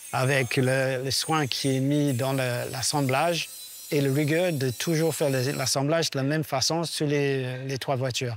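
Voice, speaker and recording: The speaker talks at a fairly slow pace with very even loudness and fairly even intonation. Noticeable background noise can be heard. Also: man, fairly high pitch for a man. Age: 60s. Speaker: technical director of a rally team. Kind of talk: documentary interview. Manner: hesitant, many fillers.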